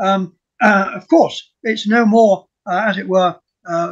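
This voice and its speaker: A man is speaking. The background is quiet. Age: 80s+. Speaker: retired professor, archaeologist; retired professor. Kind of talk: academic presentation; lecture-style presentation in group discussion. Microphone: video call.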